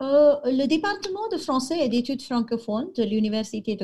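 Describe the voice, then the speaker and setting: Her voice is high in pitch. The woman's pitch swings very widely. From India, Goa. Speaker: French professor. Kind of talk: interview. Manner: halting.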